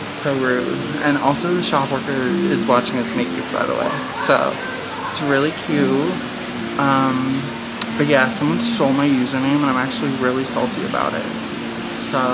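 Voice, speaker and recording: Music plays in the background as a woman talks at a moderate pace, leaving long, frequent pauses. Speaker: vlogger. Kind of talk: casual vlog chat. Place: shop. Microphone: phone near.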